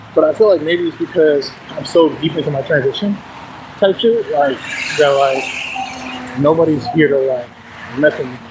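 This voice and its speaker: The pace is moderate. Noticeable background noise runs behind the speech. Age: 30s. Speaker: transgender livestreamer. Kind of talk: casual livestream chat. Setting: outdoors livestream.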